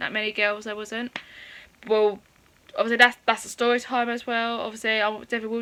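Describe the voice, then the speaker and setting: Speaking with an English accent, the voice has a bright, sharp tone. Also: woman. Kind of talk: personal storytime. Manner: fast; halting.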